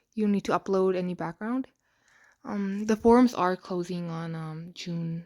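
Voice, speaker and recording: A woman's dark, mellow tone on a very clean recording with a silent background. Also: medium pitch for a woman, ordinary pitch variation, moderate pace, dry, close sound with no echo. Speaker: app story tutorial creator. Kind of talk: unscripted tutorial narration. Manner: hesitant, many fillers.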